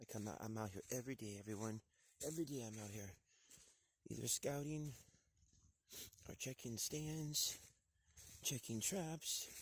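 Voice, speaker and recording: Somewhat breathy, a man talks at a moderate pace and medium pitch. His intonation is lively, with long, frequent pauses. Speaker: hunter vlogger. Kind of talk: outdoor hunting vlog. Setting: outdoors.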